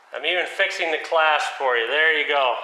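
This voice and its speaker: Room echo is audible as a man talks at a moderate pace. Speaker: car channel host. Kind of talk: casual vlog chat. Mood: joking, playful. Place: garage. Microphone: camera far.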